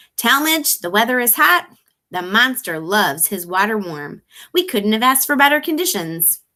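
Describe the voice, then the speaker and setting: A woman's put-on character voice, fairly high in pitch, with very wide pitch swings. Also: moderate pace. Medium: read story.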